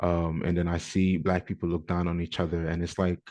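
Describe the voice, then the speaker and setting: Against a quiet background, a man with a slight African accent and a very deep, low pitch talks at a very fast pace. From New York (Bronx), with teen years in Ghana. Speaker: podcast co-host, educator. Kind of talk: casual podcast chat.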